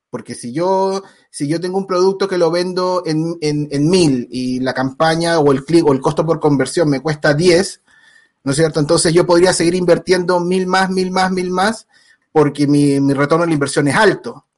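This man's voice sits high in pitch, moving at a moderate pace with ordinary pitch variation. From Chile. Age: 40s. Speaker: digital marketing agency founder. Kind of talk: live stream interview. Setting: live stream.

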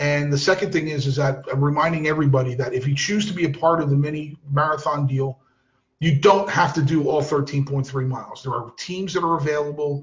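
With fairly even intonation and a somewhat breathy sound, a man speaks fairly quickly at a fairly high pitch. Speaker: soccer podcast host. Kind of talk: casual chat. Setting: home recording with kids in background.

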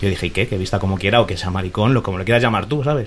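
Talking at a very fast pace, a man uses lively intonation and sounds somewhat breathy. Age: young. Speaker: student and aspiring sports commentator. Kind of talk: casual chat. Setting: bookshop.

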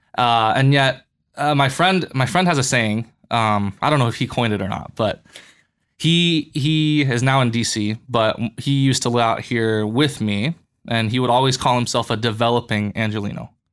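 A man's unremarkable speaking voice at medium pitch, with an American accent, a moderate pace and ordinary pitch variation. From US West, Boulder, Colorado. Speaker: church worker. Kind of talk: casual chat.

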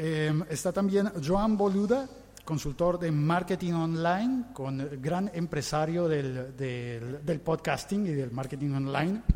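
With a Latin American accent, a man talks very slowly in a fairly high pitch with lively intonation. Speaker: podcaster, panel moderator. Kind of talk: panel discussion moderation.

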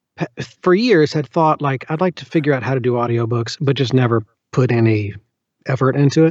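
In a dry, close recording with no echo, a man with a Southern US accent talks at a medium pitch and a fairly quick pace with ordinary pitch variation. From US South, Birmingham, Alabama. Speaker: audiobook narrator. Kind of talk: casual interview.

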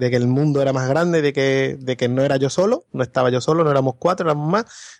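At a fairly quick pace, a man talks in an ordinary speaking voice at medium pitch, the sound dry and close with no echo and a quiet background behind him. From Andalusia, Spain. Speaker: podcast guest. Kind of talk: casual chat.

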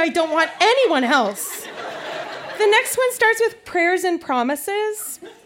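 Over noticeable background noise, a woman speaks fairly slowly with very wide pitch swings. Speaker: guest reader. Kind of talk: reading aloud. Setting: stage with audience.

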